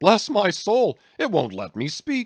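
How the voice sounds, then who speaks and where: In a put-on character voice that is wheezy, raspy and high-pitched for a man, a man speaks at a fairly slow pace with a dry, close sound and no echo. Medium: read story. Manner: muttering to himself.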